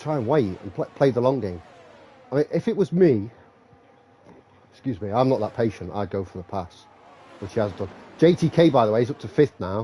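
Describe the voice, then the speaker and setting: Dark and mellow in tone, a man's somewhat breathy voice sits at medium pitch with lively intonation and big swings in loudness. He moves at a fairly quick pace but leaves long, frequent pauses. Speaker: sim racing commentator. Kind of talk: live commentary. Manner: animated.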